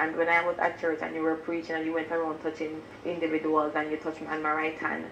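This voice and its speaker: A fairly low-pitched woman's voice at a very fast pace, with audible room echo and light background noise. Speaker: church member giving testimony. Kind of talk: testimony. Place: home room.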